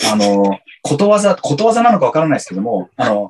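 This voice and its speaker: At a very fast pace, a man speaks at a fairly high pitch with very wide pitch swings, in a dry, close sound with no echo. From Japan (Yokohama) and San Diego, California. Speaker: company employee in marketing. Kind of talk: interview. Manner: halting, many fillers.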